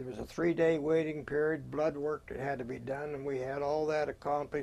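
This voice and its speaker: A man's fairly high, monotone, flat voice in an American accent. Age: 80s+. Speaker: war veteran. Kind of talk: oral history interview. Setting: museum.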